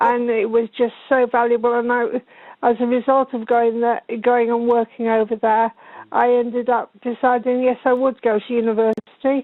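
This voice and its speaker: The delivery moves at a moderate pace. Its intonation is monotone and flat. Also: woman, high pitch for a woman. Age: 60s. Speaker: caller. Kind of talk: phone-in call.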